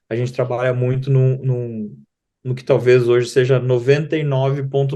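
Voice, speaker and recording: Speaking fairly slowly in a Rio Grande do Sul accent, a man uses a fairly high pitch and a dark, mellow tone. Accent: southern Brazilian (gaúcho), noticeable. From southern Brazil (Rio Grande do Sul). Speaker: digital marketing company co-founder. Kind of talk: interview. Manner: halting, many fillers and repetitions.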